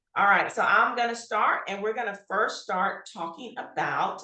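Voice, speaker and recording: Audible room echo surrounds the recording. The woman's tone is bright and sharp. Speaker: health workforce trainer. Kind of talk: webinar presentation. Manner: fast.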